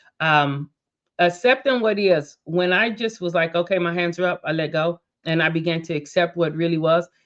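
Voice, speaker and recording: A woman speaks in an ordinary speaking voice, her pitch fairly low with ordinary variation. Her pace is moderate. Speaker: motivational speaker and podcast host. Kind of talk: reflective podcast monologue. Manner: casual, conversational.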